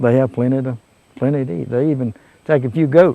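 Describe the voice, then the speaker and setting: Dark, mellow tone in a South Carolina accent, with ordinary pitch variation and a moderate pace. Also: man. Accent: Southern US (South Carolina). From US South, Abbeville County, South Carolina. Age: 60s. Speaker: local witness of wildlife sightings. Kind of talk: casual interview. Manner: halting.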